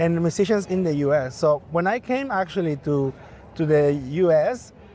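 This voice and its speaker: A man talks at a high pitch with a dark, mellow tone and lively intonation. He has a Spanish accent and keeps a moderate pace. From Bolivia. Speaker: musician and event emcee. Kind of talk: interview.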